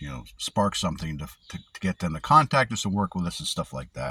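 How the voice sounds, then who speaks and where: Very deep and low, a man's voice carries a bright, sharp tone and vocal fry, with lively intonation. He speaks at a moderate pace in a very clean recording with a silent background. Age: 60s. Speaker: security officer vlogger. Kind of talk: personal vlog monologue. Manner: rambling, halting.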